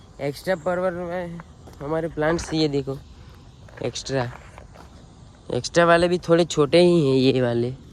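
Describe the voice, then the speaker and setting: Pausing long and often, a man talks in a fairly high voice with ordinary pitch variation. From Gujarat, India. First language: Gujarati (speaking Hindi). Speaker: vlogger, farmer. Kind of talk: casual vlog walkthrough. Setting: outdoors in a farm field.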